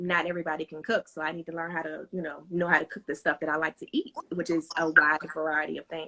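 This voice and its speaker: A woman's voice at a fairly low pitch. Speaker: home cook and small business owner. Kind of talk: casual interview. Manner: fast.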